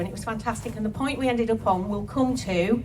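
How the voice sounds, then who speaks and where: The recording has audible room echo. Music plays in the background. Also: woman. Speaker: wellness speaker. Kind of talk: talk to festival audience. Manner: animated.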